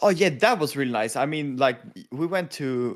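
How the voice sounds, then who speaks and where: In a very clean recording with a silent background, a man speaks at a moderate pace with a Swedish accent. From Sweden. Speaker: podcast co-host. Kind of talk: casual chat. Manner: laughs often.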